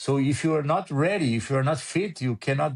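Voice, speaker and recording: Recorded with a dry, close sound and no echo, a man with a Portuguese accent talks at a moderate pace in a fairly high pitch, somewhat breathy. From Brazil. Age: 60s. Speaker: motorsport photographer. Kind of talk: casual interview chat.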